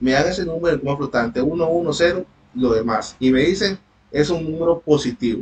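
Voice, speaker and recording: Somewhat breathy, a man with a fairly high pitch speaks at a fairly quick pace with ordinary pitch variation. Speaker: university tutor. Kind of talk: online lecture.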